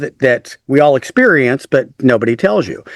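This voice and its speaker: A man with a Texan accent talks at a moderate pace. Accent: Texan American English. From West Texas. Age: 50s. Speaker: author and speaker. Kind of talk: interview conversation. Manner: casual, halting with fillers.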